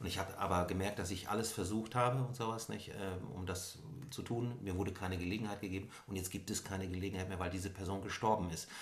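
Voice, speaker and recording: A man talks very fast at a fairly low pitch, his intonation fairly even, with audible echo from the room. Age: 50s. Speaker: author and suicide attempt survivor. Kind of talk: personal interview conversation. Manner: hesitant with many fillers.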